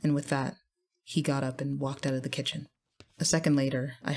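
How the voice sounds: Quiet surrounds the speaker. It is a natural reading voice.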